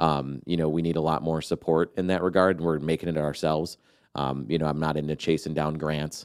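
A man speaks with an American accent at a very deep, low pitch and monotone, flat intonation. The recording is very clean with a silent background. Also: fairly quick pace. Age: young. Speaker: bus company founder. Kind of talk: casual interview. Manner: halting, with many fillers.

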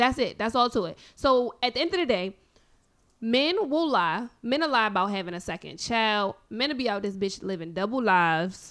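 A woman with an unremarkable speaking voice and a fairly high pitch talks at a moderate pace with lively intonation on a very clean recording with a silent background. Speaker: guest co-talker. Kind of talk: casual banter debate.

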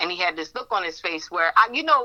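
A woman with a fairly low pitch, a bright, sharp tone, lively intonation and a fairly quick pace

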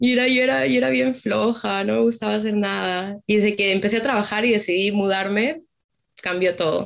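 A woman has an ordinary speaking voice with a medium pitch and lively intonation. She talks at a fairly quick pace with very even loudness. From Peru. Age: 20s. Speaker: dental assistant and nursing student. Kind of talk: interview.

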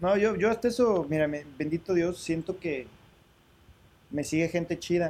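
A man's high voice at a fairly slow pace, with long, frequent pauses and ordinary pitch variation. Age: 40s. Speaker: podcast co-host. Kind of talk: casual chat.

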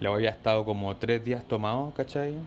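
A man speaks at medium pitch in a Chilean accent. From Chile, Maipú (Santiago). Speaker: listener sending a voice note. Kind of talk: voice message anecdote.

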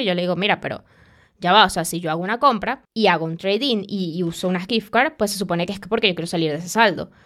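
The recording is very clean, with a silent background, and on it a woman speaks. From Venezuela. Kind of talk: casual chat.

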